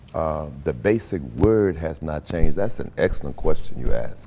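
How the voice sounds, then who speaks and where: A man with vocal fry speaks at a fairly slow pace, his intonation lively. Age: 70s. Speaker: pastor. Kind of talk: interview.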